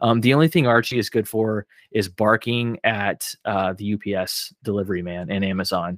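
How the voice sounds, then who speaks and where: On a very clean recording with a silent background and a dry, close sound with no echo, a man with an American accent speaks at a moderate pace. He has a plain, everyday voice, fairly low in pitch, with ordinary pitch variation. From Oklahoma, small town. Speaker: podcast guest, film fan. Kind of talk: casual chat.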